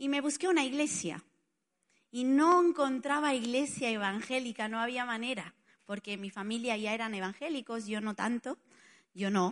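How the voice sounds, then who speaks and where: In an Italian accent, a woman with a high-pitched voice talks with lively intonation against a quiet background. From Spain, Barcelona. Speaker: preacher. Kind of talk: sermon.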